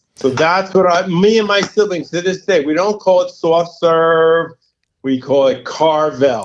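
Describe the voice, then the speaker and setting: A man with a New York accent speaks at a high pitch. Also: ordinary pitch variation, fairly slow pace. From New York, Long Island area. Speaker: youth services director. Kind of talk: podcast interview. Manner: energetic.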